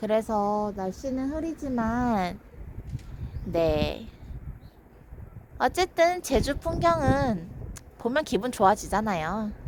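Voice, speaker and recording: A woman speaks at a fairly high pitch and a very slow pace, her pitch swinging very widely. Long pauses come often. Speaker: live streamer. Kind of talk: casual live stream chat. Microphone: far from the device.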